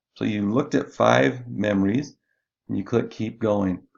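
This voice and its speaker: A man with an ordinary speaking voice, fairly low in pitch, at a fairly slow pace. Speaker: instructional designer or university staff. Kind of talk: screen-recorded tutorial.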